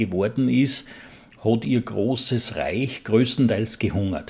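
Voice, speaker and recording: This voice has vocal fry and ordinary pitch variation. It moves at a very slow pace. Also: man. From Bohemian Forest. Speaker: beekeeper. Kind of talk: interview.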